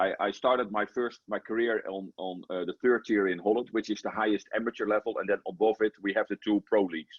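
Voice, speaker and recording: A man with a Dutch accent talks at a fairly quick pace with hardly any pauses. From Netherlands. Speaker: football coach. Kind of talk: interview. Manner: animated; halting.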